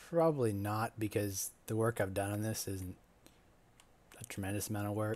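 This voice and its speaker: A man with a fairly low pitch talks at a moderate pace, breaking often with long pauses. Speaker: video game streamer. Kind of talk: gameplay commentary. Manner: monotone; hesitant, many fillers.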